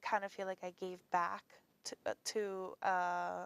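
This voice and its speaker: A woman with a non-native accent and a medium pitch speaks at a fairly slow pace, recorded with a dry, close sound and no echo. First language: not English. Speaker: college admissions counselor. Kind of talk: talk show interview. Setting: television studio. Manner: halting.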